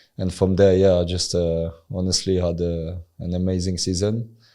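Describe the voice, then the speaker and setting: With a French accent, a man talks in a very deep, low pitch. His tone is dark and mellow, and his intonation is monotone and flat. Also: very clean recording, silent background. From France. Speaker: former professional footballer. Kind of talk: interview. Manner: halting, many fillers.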